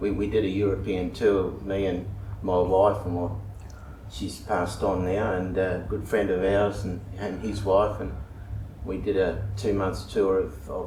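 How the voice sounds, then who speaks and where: Amid noticeable background noise and audible room echo, a man with an Australian accent speaks at a moderate pace, his fairly low pitch held in monotone, flat intonation. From Western Australia, Perth. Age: 70s. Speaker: local resident. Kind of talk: interview. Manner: halting.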